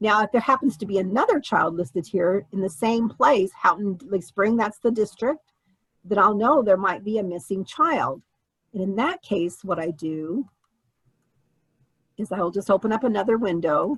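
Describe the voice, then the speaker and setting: A woman's somewhat breathy, medium-pitched voice moves at a moderate pace with lively intonation. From Germany. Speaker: family history teacher. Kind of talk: tutorial.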